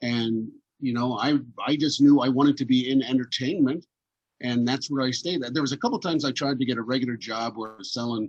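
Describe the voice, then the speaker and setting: A man with an ordinary speaking voice talks at a fairly quick pace in a medium pitch with fairly even intonation. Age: 60s. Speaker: entertainer. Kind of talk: casual chat. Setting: video call.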